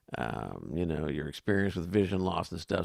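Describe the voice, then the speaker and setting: The sound is dry and close, with no echo. A man talks with vocal fry. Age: 60s. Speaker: talk show co-host. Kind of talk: interview.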